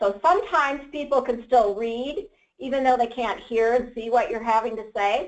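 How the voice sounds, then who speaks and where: A woman's fairly high-pitched voice, an unremarkable speaking voice, at a moderate pace. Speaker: nonprofit program specialist. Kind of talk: lecture.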